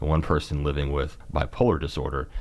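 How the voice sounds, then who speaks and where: This is a man speaking with a Kentucky accent. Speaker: mental health policy advocate. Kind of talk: podcast interview. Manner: halting.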